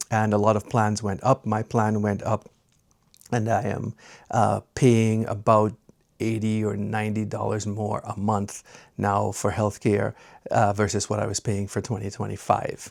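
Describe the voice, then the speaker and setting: In a very clean recording with a silent background, a man speaks at a fairly slow pace in a monotone, flat intonation. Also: fairly low pitch for a man. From Trinidad and Tobago. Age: 60s. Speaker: retiree vlogger. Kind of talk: casual personal vlog. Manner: conversational with frequent filler 'uh'.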